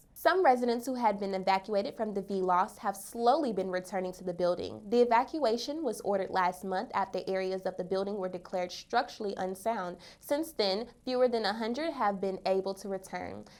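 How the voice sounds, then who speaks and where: At a fairly quick pace with hardly any pauses, a normal speaking voice shows ordinary pitch variation on a very clean recording with a silent background. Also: woman, medium pitch for a woman. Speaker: news anchor. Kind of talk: TV news anchor read.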